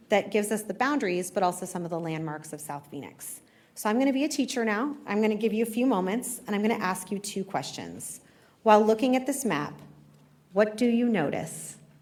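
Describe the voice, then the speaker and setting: In a room with audible echo, a woman speaks fairly quickly at a medium pitch with lively intonation. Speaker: history professor. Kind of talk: public lecture. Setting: live talk with audience. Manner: fast.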